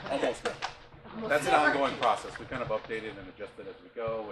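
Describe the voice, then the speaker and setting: Words pour out at a very fast pace from a man, with audible room echo and noticeable background noise in the recording. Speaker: parts department tour guide. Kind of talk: guided tour talk. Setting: warehouse tour with group. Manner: soft-spoken.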